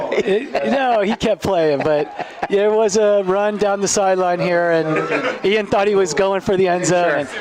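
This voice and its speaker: A fairly slow delivery with hardly any pauses, very even loudness and ordinary pitch variation, with audible room echo and crowd noise in the background. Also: man, high pitch for a man. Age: 60s. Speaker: youth football game commentator. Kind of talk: live commentary. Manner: casual, halting with fillers.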